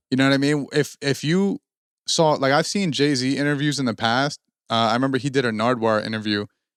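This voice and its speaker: Recorded very cleanly against a silent background, a man speaks in an unremarkable speaking voice at a medium pitch and a fairly quick pace. The sound is dry and close with no echo, his loudness very even and his pitch variation ordinary. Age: 20s. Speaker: rapper and podcast co-host. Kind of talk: casual chat. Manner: many fillers like uh and like.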